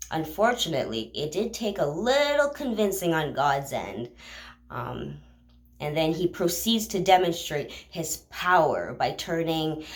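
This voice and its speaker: Using vocal fry and very wide pitch swings, a woman with a fairly low pitch speaks at a very slow pace in audible room echo. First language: not English. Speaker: bible reading vlogger. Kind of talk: casual retelling of scripture. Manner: halting, with fillers.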